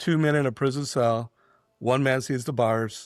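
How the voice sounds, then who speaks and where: A man with a plain, everyday voice speaks at a medium pitch and a fairly slow pace, his intonation fairly even, in a very clean recording with a silent background. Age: 60s. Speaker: entrepreneur. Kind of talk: podcast interview.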